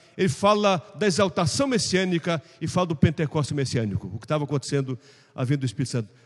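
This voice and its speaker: Very fast speech comes from a man with lively intonation. His voice is somewhat breathy. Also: fairly high pitch for a man. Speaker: pastor teaching Sunday school. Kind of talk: Bible class lecture. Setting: church classroom.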